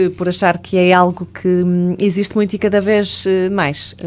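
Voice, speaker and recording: A woman's voice has a dark, mellow tone. She speaks at a fairly slow pace. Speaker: radio host and psychologist. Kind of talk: radio talk show hosting.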